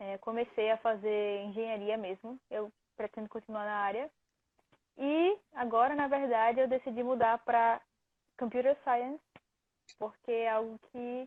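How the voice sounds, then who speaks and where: A woman with a northeastern Brazilian accent speaks at a fairly high pitch with fairly even intonation. Her speech has long, frequent pauses. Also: fairly slow pace. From Recife, northeastern Brazil. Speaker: student athlete. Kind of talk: interview. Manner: halting.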